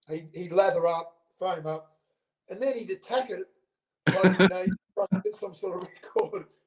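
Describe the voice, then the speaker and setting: A high-pitched man with an Australian accent, at a moderate pace with long, frequent pauses, ordinary pitch variation and big swings in loudness, in a dry, close sound with no echo. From Sydney, Australia. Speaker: former sports CEO and salesman. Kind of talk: interview answer.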